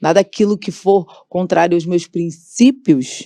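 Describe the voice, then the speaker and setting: Her tone is dark and mellow, with a fairly low pitch. This woman speaks at a fairly slow pace with ordinary pitch variation. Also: dry, close sound with no echo. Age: 40s. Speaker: gospel singer and political candidate. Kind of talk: podcast interview.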